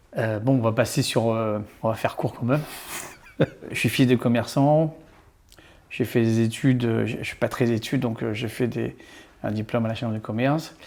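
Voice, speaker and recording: A man at medium pitch, moderate pace and fairly even intonation, with long, frequent pauses. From Réunion. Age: 60s. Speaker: entrepreneur. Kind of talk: casual interview. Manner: hesitant, many fillers.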